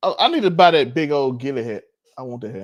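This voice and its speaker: With a Mississippi accent, a man talks at a fairly quick pace, medium pitch and ordinary pitch variation. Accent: Mississippi country. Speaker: podcast co-host. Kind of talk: casual chat.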